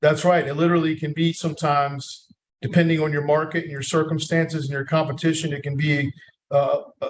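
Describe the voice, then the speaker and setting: Fairly quick speech in an American accent. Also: man. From North Carolina, USA. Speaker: marketing executive, agency founder. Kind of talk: podcast interview answer.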